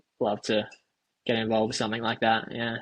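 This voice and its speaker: A man speaks with an Australian accent. His tone is bright and sharp. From Australia, Alice Springs. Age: 20s. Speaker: professional runner. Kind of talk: casual chat.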